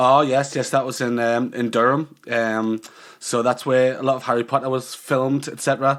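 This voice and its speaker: A man with a slight northeast English accent speaks at a moderate pace. His medium-pitched voice stays monotone and flat. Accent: slight northeast England twang. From northeast England. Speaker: online magazine creator. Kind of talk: casual chat.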